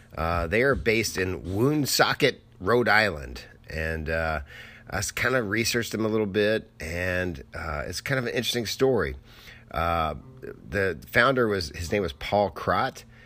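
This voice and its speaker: A man with a fairly low pitch and vocal fry speaks at a fairly slow pace, his tone bright and sharp and his intonation lively. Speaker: podcast host, film photographer. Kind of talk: solo casual podcast monologue. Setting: home studio.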